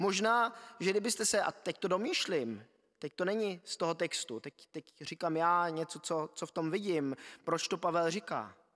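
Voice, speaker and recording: In a high pitch, a man talks at a moderate pace. The background is quiet. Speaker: preacher. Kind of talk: sermon. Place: church. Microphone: podium.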